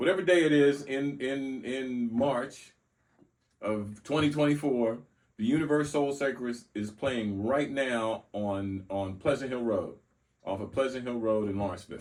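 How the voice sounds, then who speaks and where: An ordinary speaking voice with an American accent. It moves at a moderate pace with ordinary pitch variation. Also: man, medium pitch for a man. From US South (Mobile, Alabama). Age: 60s. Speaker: former circus ringmaster. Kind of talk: casual interview.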